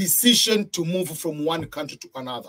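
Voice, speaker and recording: With a Tanzanian accent, the speaker talks at a fairly slow pace with lively intonation. The sound is dry and close, with no echo. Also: man. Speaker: video blogger. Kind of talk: storytelling monologue.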